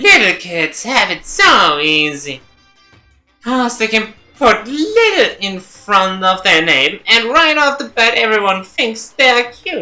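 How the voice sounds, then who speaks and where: A put-on character voice speaks at a fairly slow pace with a fairly high pitch. Faint music plays in the background. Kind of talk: comic overacting. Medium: virtual streamer. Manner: playful, mocking, showy.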